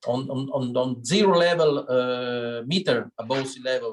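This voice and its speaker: A man's medium-pitched voice with a Sicilian accent. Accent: Italian (Sicilian). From Sicily, Italy. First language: Italian. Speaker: winery owner. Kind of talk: wine tasting talk. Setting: video call. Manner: halting, many fillers.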